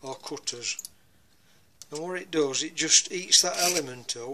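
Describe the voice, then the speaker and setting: There is noticeable background noise as a man talks at a fairly slow pace. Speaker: hobbyist reviewer. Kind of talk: casual product review. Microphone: phone near.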